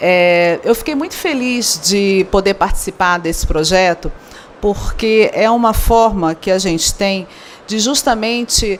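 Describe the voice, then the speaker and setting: Speaking in a Rio de Janeiro accent, a woman with a medium pitch goes at a fairly slow pace over noticeable background noise. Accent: carioca. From Rio de Janeiro, Brazil. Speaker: event professional and speaker. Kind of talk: conference talk.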